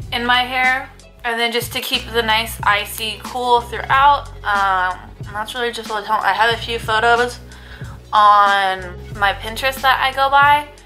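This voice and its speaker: A woman at a fairly slow pace with fairly even intonation, faint music in the background. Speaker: beauty vlogger. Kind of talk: casual vlog chat. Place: kitchen. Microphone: phone near.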